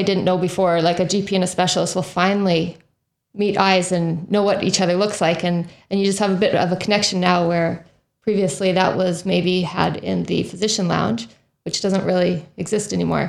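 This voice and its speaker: A woman at medium pitch, a normal speaking voice, fairly quick in pace, with very even loudness and fairly even intonation. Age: 40s. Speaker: podcast host and physician. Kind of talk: interview. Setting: living room.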